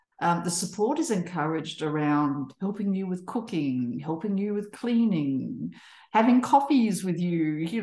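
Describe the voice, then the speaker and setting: In a room with audible echo, a woman with an Australian accent speaks at a moderate pace and medium pitch, her intonation lively. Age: 60s. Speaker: social enterprise co-founder. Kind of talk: panel discussion. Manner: halting, with frequent repetitions and fillers.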